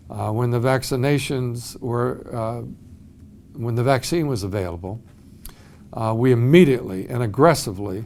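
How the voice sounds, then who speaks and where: In a room with audible echo, a man speaks at a moderate pace and medium pitch with ordinary pitch variation and long, frequent pauses. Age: 70s. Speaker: school superintendent. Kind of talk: video announcement.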